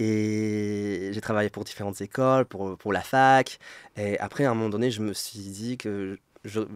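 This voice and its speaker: In a very clean recording with a silent background, a man with a fairly low pitch speaks at a fairly slow pace with fairly even intonation, the sound dry and close with no echo. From Poland. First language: Polish (speaking French). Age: 30s. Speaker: French teacher. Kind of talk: interview. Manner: hesitant, many repetitions.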